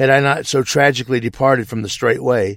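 A man's plain, everyday voice, medium pitched, at a fairly quick pace with an American accent. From US South, southeast Missouri. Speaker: truck driver and lay theologian. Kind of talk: pre-recorded testimony.

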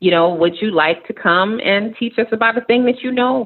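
This woman talks with a New York accent. Her pitch varies in an ordinary way. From New York City, Queens. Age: 40s. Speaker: nonprofit operations executive. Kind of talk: casual interview.

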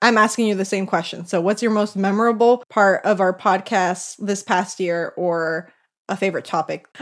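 In a very clean recording with a silent background, a woman speaks in a plain, everyday voice. Her pitch is medium, her intonation fairly even and her pace moderate. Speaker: podcast co-host. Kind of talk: casual chat.

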